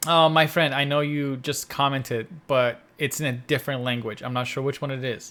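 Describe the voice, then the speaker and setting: Speaking at a moderate pace with hardly any pauses, a man uses a fairly high pitch, a bright, sharp tone and fairly even intonation. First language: Persian. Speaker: podcast co-host. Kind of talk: casual chat.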